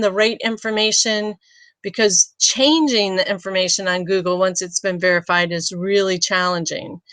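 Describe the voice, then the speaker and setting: A woman's plain, everyday voice at a medium pitch and moderate pace, dry and close with no echo. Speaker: business consultant. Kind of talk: webinar tutorial.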